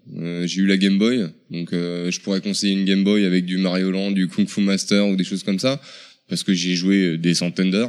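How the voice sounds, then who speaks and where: This man's voice has a very deep, low pitch. He talks at a fairly quick pace with fairly even intonation. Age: 30s. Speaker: video game shop employee. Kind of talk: interview.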